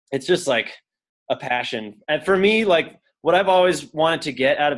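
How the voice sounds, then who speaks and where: A man with a western US accent talks at a fairly quick pace on a very clean recording with a silent background. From Utah, Salt Lake City. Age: 30s. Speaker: pro skier and non-profit director. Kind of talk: casual interview chat. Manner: casual, filler-heavy with lots of 'like'.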